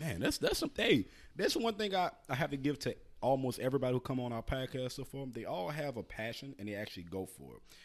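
A man talking at a very fast pace, with lively intonation, vocal fry and big swings in loudness. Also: medium pitch for a man. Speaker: podcast host. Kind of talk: casual chat. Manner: animated.

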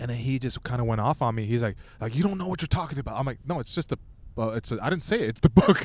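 A very fast, somewhat breathy male voice with a medium pitch, lively intonation and a Californian accent. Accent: Californian American English. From Southern California, Torrance. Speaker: stand-up comedian. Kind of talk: casual chat. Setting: outdoors at a beach.

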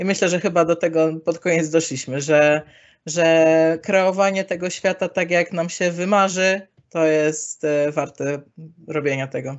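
In a plain, everyday voice, a woman with a fairly low pitch talks at a moderate pace, her intonation fairly even. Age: 20s. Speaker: climate activist. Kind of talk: interview.

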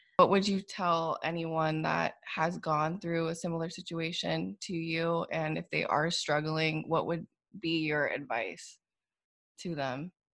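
A woman speaks at a fairly slow pace in a plain, everyday voice, her pitch fairly low with ordinary variation. The recording is very clean, with a silent background. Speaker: podcast co-host. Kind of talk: casual chat.

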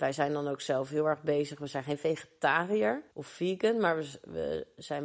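Her voice very deep and low, a woman speaks at a fairly slow pace. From Rotterdam, Kralingen. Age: 30s. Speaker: lifestyle coach. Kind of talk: group discussion.

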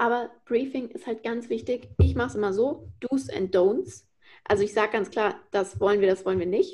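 Fairly high-pitched woman with vocal fry, ordinary pitch variation and a moderate pace. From Frankfurt, Germany. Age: 20s. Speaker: influencer marketing consultant. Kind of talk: podcast interview.

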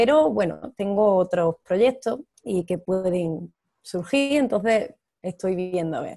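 At a very slow pace, a woman speaks at a medium pitch with lively intonation. Her tone is dark and mellow. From Almería, Spain. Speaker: actress. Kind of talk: interview.

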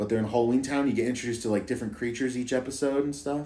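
The tone is animated. The speaker has an American accent. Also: man. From Idaho. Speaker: podcast guest. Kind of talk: casual chat.

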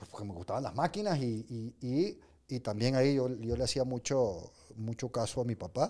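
This man's voice has a dark, mellow tone. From Venezuela. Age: 50s. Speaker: business leader and coach. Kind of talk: casual interview.

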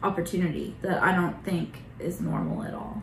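Against noticeable background noise and audible room echo, a woman with an American accent talks at a medium pitch with monotone, flat intonation. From Oklahoma, Bartlesville. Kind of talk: casual interview.

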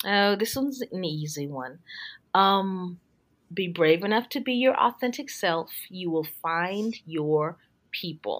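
In an American accent, a woman with a fairly low pitch uses an ordinary speaking voice, lively intonation and a fairly slow pace on a very clean recording with a silent background. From Texas. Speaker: educational technology specialist and author. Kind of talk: interview conversation.

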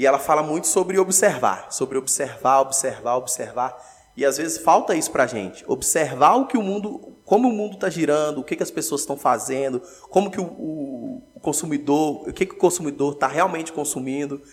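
Barely pausing, a man talks at a fairly quick pace. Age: 20s. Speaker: entrepreneur, food shop owner. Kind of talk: casual interview.

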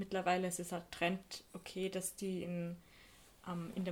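Her pitch sits in the medium range and her intonation is monotone and flat. The woman talks at a fairly slow pace. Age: 20s. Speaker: photo editor and photographer. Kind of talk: casual chat.

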